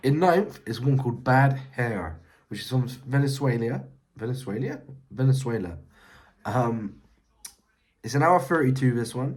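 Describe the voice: A man at medium pitch talks at a fairly slow pace with lively intonation and a slightly mellow tone, leaving long, frequent pauses amid strong room echo.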